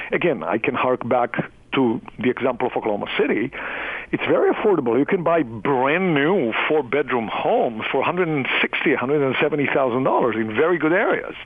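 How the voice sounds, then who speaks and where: A man with a slight non-native accent speaks at a fairly quick pace. His fairly high pitch and lively intonation come through noticeable background noise. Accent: foreign accent, slight. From outside the US. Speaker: real estate investment executive. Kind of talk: radio interview.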